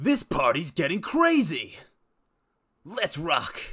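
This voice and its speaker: On a very clean recording with a silent background, a man uses a put-on character voice, pitched high and paced fairly slowly. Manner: joke voice, exaggerated cocky delivery.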